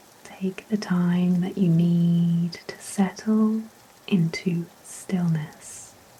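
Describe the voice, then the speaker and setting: Over noticeable background noise, a woman with a fairly low pitch speaks at a very slow pace in a monotone, flat intonation. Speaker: sleep hypnosis guide. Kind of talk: sleep hypnosis talk-down. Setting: rain sounds in background. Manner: slow, gentle, soothing.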